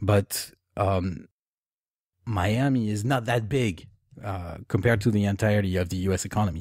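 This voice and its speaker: With a French accent, a man speaks at a moderate pace in a fairly low pitch, with ordinary pitch variation and long, frequent pauses, on a very clean recording with a silent background. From France. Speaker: author. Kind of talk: interview. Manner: halting.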